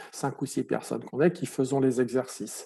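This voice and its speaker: Speaking at a moderate pace, a man uses a fairly high pitch. His tone is dark and mellow. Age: 60s. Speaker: patient advocate. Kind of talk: testimony. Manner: halting, many repetitions and fillers.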